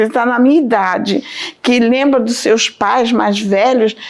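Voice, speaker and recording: Noticeable background noise surrounds the woman as her pitch varies in an ordinary way. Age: 60s. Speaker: religious testimony giver. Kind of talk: testimony. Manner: halting.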